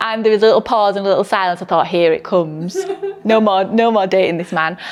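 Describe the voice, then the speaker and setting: With a Yorkshire accent, a woman of medium pitch speaks at a very fast pace and fairly even intonation over noticeable background noise. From northern England, Yorkshire. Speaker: midwife. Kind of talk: interview.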